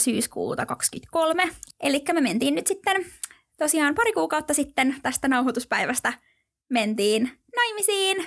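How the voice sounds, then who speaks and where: A woman with a high pitch speaks at a very slow pace, her voice making very wide pitch swings. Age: 20s. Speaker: podcast co-host, wedding blogger. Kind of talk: casual chat.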